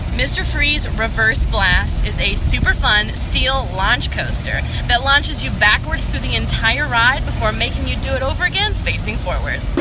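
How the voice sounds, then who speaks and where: A woman speaks in an animated tone at a moderate pace with hardly any pauses. Noticeable background noise and audible room echo surround her voice. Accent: Texas. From Texas. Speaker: travel show host. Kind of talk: travel vlog presenting.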